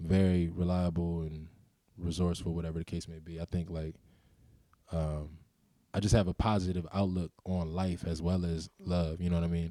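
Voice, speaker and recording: The voice has a dark, mellow tone and monotone, flat intonation. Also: man, very deep, low pitch for a man, moderate pace, very clean recording, silent background. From Baltimore (Cherry Hill), US. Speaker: recording artist. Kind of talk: casual interview.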